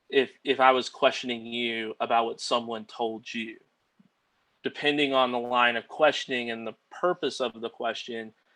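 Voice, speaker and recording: A man with an American accent speaks in a bright, sharp tone with monotone, flat intonation. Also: medium pitch for a man, moderate pace, quiet background. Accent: Southern US accent, stronger in court. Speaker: attorney. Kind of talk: casual chat. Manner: many fillers, 'like' and 'um'.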